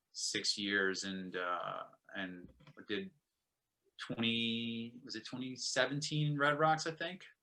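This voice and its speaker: Speaking very slowly with long, frequent pauses, a man uses a medium pitch, lively intonation and an American accent. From Brooklyn, New York. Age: 30s. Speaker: musician. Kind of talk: casual chat.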